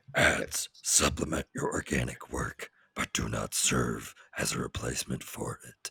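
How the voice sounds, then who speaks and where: A raspy, put-on character voice. The pace is moderate. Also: man, very deep, low pitch for a man. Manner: chaotic evil, menacing.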